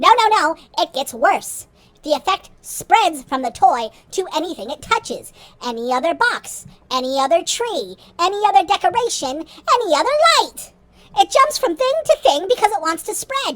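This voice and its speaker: A squeaky put-on character voice at extremely high pitch swings very widely in pitch, moving at a moderate pace. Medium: audio drama. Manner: impatient, condescending.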